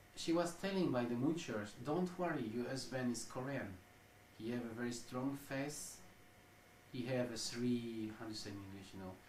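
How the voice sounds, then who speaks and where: Against noticeable background noise and audible room echo, a man of medium pitch with ordinary pitch variation speaks at a moderate pace. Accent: French. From France. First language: French. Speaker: ex-cult researcher interviewee. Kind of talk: interview. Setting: interview in Tokyo. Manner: halting, searching for words.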